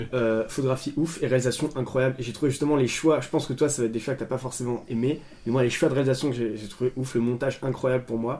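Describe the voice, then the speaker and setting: There are hardly any pauses in this man's speech. He goes at a very fast pace. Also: medium pitch for a man, fairly even intonation. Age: 20s. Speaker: podcast co-host. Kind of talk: casual chat.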